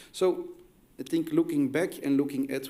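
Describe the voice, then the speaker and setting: A man with a Flemish accent and a dark, mellow tone, at a moderate pace with ordinary pitch variation and audible room echo. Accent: Flemish Dutch accent in English. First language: Dutch. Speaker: academic researcher. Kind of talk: conference presentation. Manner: halting, many fillers and restarts.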